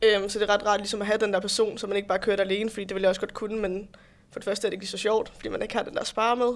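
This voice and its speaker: A woman talks at a very fast pace. Her medium-pitched voice has monotone, flat intonation. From Denmark, Roskilde. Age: 20s. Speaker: bodybuilding competitor and fitness instructor. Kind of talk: podcast interview.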